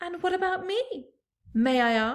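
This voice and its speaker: A woman uses a put-on character voice, squeaky and extremely high in pitch. Her pitch swings very widely. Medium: read story.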